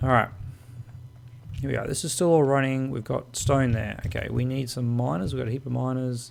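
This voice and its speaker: A man at medium pitch, fairly quick pace and ordinary pitch variation, with noticeable background noise. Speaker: gaming video creator. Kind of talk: game tutorial commentary. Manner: casual, chatty.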